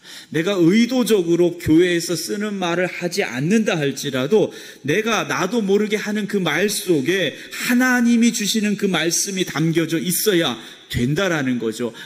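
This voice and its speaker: Against noticeable background noise, a high-pitched man speaks at a fairly slow pace with lively intonation. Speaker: pastor. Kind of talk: sermon.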